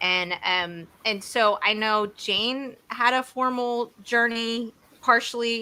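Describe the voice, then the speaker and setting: A woman speaks with a Texas accent in a fairly high pitch and a bright, sharp tone. The recording is very clean, with a silent background. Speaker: interview host. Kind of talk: casual interview.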